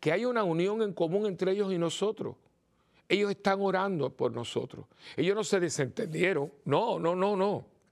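A high-pitched man talks at a moderate pace with ordinary pitch variation and very even loudness.

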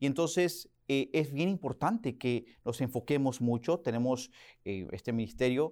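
In a very clean recording with a silent background, a man speaks at a fairly slow pace and medium pitch with ordinary pitch variation. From Oklahoma, US, to Mexican parents. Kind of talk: interview. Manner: hesitant, many fillers and repetitions.

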